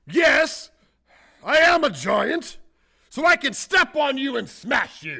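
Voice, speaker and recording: A man puts on a character voice pitched extremely high, speaking at a fairly slow pace with long, frequent pauses. The recording is very clean, with a silent background. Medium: stage play. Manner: grumbling, huffy.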